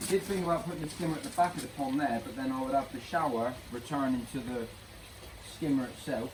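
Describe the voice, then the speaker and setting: A man speaks over noticeable background noise. Room echo is audible. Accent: English. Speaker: DIY pond keeper vlogger. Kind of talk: DIY vlog. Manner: casual, thinking aloud.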